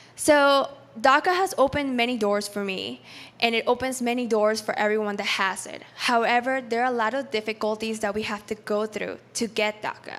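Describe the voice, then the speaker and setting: In a Spanish accent, a woman with a fairly high voice speaks with ordinary pitch variation. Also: moderate pace. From Peru, then New York City. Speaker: startup founder and engineer. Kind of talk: personal story talk at event.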